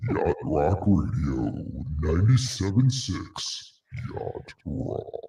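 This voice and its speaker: A man growls in a put-on character voice at a very slow pace. His pitch swings very widely. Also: fairly low pitch for a man. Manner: smooth radio delivery gone gravelly.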